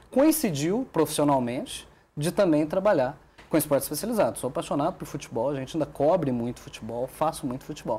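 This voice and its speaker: The voice is somewhat breathy, with a dark, mellow tone. It moves at a fairly quick pace with lively intonation. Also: man, fairly high pitch for a man. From southern Minas Gerais, Brazil. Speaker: sports journalist. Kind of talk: TV talk show interview.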